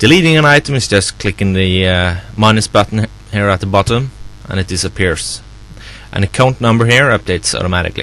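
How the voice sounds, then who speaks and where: A man with a non-native accent, fairly low in pitch, at a fairly quick pace with ordinary pitch variation. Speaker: software developer. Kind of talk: software tutorial walkthrough. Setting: background noise. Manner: unrehearsed, casual.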